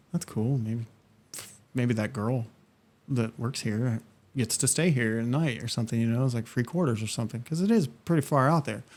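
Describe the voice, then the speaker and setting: A man with an American accent talks at a moderate pace. His pitch varies in an ordinary way. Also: medium pitch for a man. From Indiana, US Midwest. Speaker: tattoo artist. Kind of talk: casual interview storytelling. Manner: animated.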